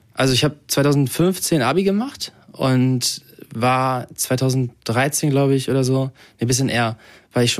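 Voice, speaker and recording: A man with an unremarkable speaking voice talks at a moderate pace and medium pitch with ordinary pitch variation, on a very clean recording with a silent background. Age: 20s. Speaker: model and social media influencer. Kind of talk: casual interview. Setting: at home.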